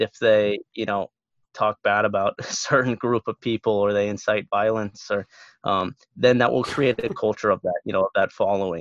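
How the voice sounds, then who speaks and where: A man's unremarkable speaking voice at a fairly low pitch, dry and close with no echo, over a quiet background. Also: fairly even intonation, moderate pace. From US Midwest (Omaha, Nebraska). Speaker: sports broadcaster. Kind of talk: casual chat.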